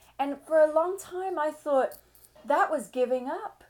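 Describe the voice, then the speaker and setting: A woman speaks with an English accent and an animated tone. Her pitch swings very widely. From England. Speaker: business coach. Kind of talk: summit presentation.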